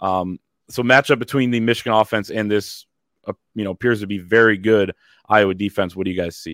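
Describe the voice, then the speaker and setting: A man's unremarkable speaking voice, fairly low in pitch, at a fairly quick pace with fairly even intonation, in a dry, close sound with no echo and a very clean recording over a silent background. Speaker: sports podcast host. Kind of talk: sports preview podcast chat. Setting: studio, also on video.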